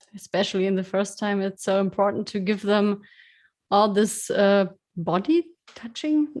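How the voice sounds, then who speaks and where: A woman at medium pitch and moderate pace, with ordinary pitch variation. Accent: slight German. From Germany. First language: German. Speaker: podcast host. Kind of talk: interview. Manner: halting.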